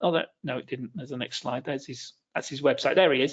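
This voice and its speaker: The speaker uses an ordinary speaking voice, and the pitch varies in an ordinary way. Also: man. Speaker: webinar presenter. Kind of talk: webinar presentation on trading strategies. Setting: online webinar, video call.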